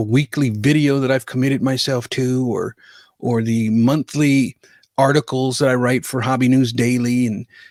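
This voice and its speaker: The recording is very clean, with a silent background and a dry, close sound with no echo. A man speaks at a medium pitch and a moderate pace. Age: 50s. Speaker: sports card collector and content creator. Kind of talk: reflective monologue to camera. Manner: halting, with many repeated words and fillers.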